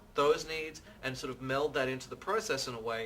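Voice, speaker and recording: With music playing in the background, a man with an Australian accent speaks at a fairly quick pace in a fairly high pitch with ordinary pitch variation. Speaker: interior designer. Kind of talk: interview.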